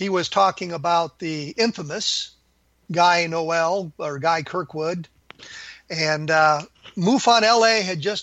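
This man's voice sits at a high pitch. His pitch variation is ordinary. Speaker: radio show host, retired military officer. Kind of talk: interview talk show. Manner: halting, frequent filler words.

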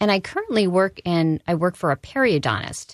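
A woman speaks in an unremarkable speaking voice at a fairly low pitch. Her pace is moderate, and the sound is dry and close with no echo. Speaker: nutrition educator and dental assistant. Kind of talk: radio interview. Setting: studio.

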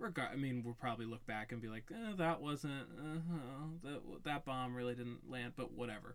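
A man with a plain, everyday voice talks at a moderate pace with hardly any pauses, a medium pitch, and ordinary pitch variation. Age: 20s. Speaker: podcast co-host. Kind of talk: casual chat.

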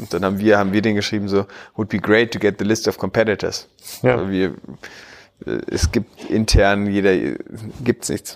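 The delivery is monotone and flat, at a moderate pace broken by long, frequent pauses. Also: man, fairly low pitch for a man. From Berlin, Germany. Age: 30s. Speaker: tech entrepreneur. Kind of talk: podcast interview. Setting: in person in Berlin.

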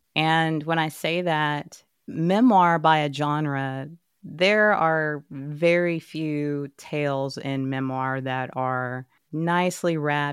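On a very clean recording with a silent background, the speaker uses a Texas accent, fairly even intonation and a very slow pace. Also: woman. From Texas, Dallas. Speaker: author and journalist. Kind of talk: interview.

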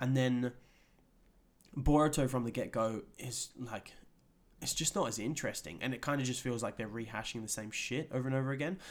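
A man with a plain, everyday voice, medium pitch, ordinary pitch variation and a fairly quick pace. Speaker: podcast host. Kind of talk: casual chat. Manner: casual, swearing, relaxed.

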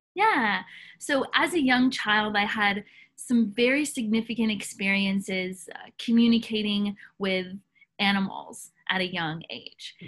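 A woman with an American accent and a plain, everyday voice speaks at a fairly slow pace in a fairly high pitch, with ordinary pitch variation and big swings in loudness. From US South. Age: young. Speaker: soul coach. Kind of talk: interview.

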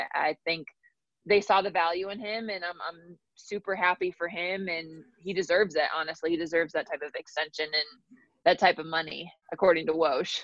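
Here a woman with a fairly low pitch talks at a fairly quick pace with fairly even intonation in a plain, everyday voice, with a dry, close sound and no echo. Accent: American. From Minnesota. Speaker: sideline reporter. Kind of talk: casual chat.

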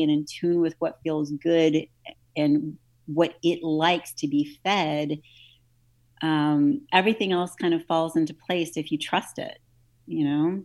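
A normal speaking voice from a woman with an American accent, fairly low in pitch with fairly even intonation, at a fairly slow pace, on a very clean recording with a silent background. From US South, New Orleans. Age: 40s. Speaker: nutrition and fitness coach. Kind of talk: casual interview.

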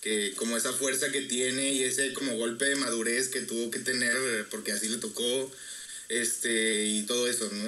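A man with a Mexican accent, medium pitch, fairly quick pace and fairly even intonation, amid audible room echo and noticeable background noise. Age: 20s. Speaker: music student. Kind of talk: casual chat.

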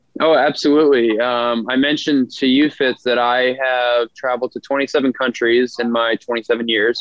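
A man with an American accent speaks in a monotone, flat intonation with hardly any pauses. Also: medium pitch for a man, moderate pace. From Boston area, Massachusetts. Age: 20s. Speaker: model and fitness coach. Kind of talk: casual interview.

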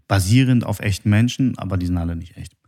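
Fairly low in pitch with a dark, mellow tone, a man talks very fast in a very clean recording with a silent background. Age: 30s. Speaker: podcast host. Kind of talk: casual chat.

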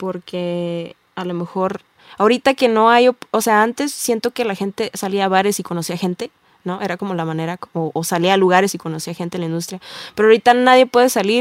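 In a dry, close sound with no echo, a woman with a normal speaking voice talks at a fairly quick pace, her medium pitch showing ordinary variation. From Tijuana, northern Mexico. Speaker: singer-songwriter. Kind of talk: casual interview.

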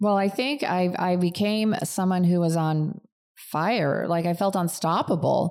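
With an American accent and a normal speaking voice, a woman speaks at a fairly slow pace and very even loudness. Her pitch is fairly low, with ordinary variation. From US Midwest, outside Chicago. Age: 50s. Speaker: fitness coach and studio manager. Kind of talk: casual interview.

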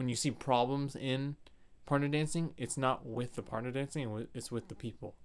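Speaking in an ordinary speaking voice, a man keeps a moderate pace and fairly even intonation. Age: 20s. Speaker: dance teacher. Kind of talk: casual interview chat.

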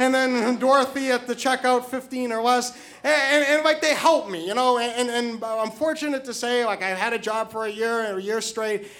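The man's voice is extremely high in pitch, with fairly even intonation. He speaks with hardly any pauses. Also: moderate pace. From New Hampshire. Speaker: storyteller. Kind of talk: live storytelling. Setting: stage with audience. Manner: halting, repeats words.

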